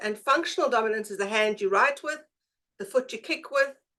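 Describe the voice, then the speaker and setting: Lively intonation marks a woman speaking at a fairly quick pace in a South African accent. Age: 50s. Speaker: presenter, brain profiling practitioner. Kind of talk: presentation.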